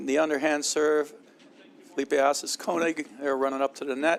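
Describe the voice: A voice with vocal fry speaks at a moderate pace with little movement in pitch. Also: man, fairly high pitch for a man.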